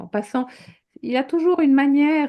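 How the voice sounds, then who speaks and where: A woman talks at a very fast pace in a dark, mellow tone. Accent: French. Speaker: teacher and author. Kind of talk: interview in French.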